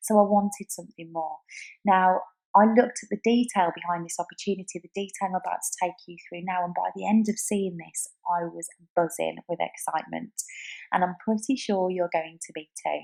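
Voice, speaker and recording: A woman's medium-pitched voice with a British accent, enthusiastic in tone, at a fairly quick pace with big swings in loudness. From UK. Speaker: online business entrepreneur. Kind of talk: sales pitch.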